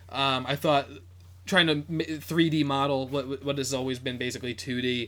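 In a very clean recording with a silent background, a man speaks at a moderate pace in a plain, everyday voice, fairly high in pitch. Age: 20s. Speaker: podcast co-host. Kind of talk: casual chat.

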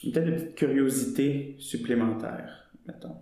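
A man speaks with a Quebec accent and ordinary pitch variation. There is audible echo in the room. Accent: Québécois. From Quebec, Montreal. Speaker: student and actor. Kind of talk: casual interview.

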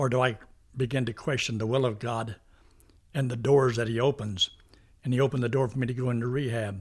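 A man with medium pitch speaks at a fairly quick pace in a somewhat breathy voice with fairly even intonation and long, frequent pauses. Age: old. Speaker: pastor and evangelist. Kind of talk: casual interview conversation.

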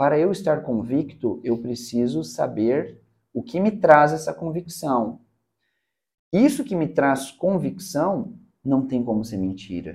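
The speech is very slow, with very wide swings in pitch. Vocal fry runs through the voice. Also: man, fairly high pitch for a man. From Curitiba, southern Brazil. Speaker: public speaking mentor. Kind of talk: casual interview.

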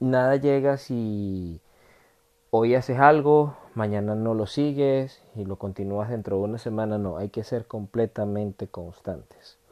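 Speaking at a fairly slow pace, a man talks in a Venezuelan accent. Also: medium pitch for a man, ordinary pitch variation. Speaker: motivational podcaster. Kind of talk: motivational monologue.

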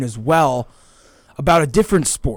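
This man has a normal speaking voice with an American accent, fairly high in pitch. He speaks at a moderate pace with lively intonation. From US South, Georgia. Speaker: sports podcast host. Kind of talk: casual chat.

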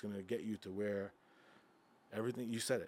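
A man talks with a New York accent. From Long Island, New York. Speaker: nightlife entrepreneur. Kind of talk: casual chat.

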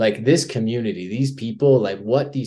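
A man with an American accent, at a moderate pace and with ordinary pitch variation. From US, Southwest Colorado. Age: 30s. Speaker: professional trail runner. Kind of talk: podcast interview, casual chat. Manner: casual, many fillers and hesitations.

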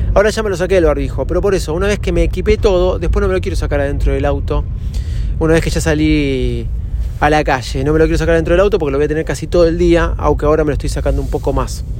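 Noticeable background noise and audible room echo are present throughout. Over them, a man speaks very fast. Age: 40s. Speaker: podcaster. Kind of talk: casual monologue. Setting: in a car.

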